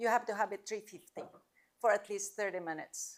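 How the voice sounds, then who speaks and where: The intonation stays fairly even as a woman talks. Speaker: cooking class instructor. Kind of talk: cooking demonstration Q&A. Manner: loud.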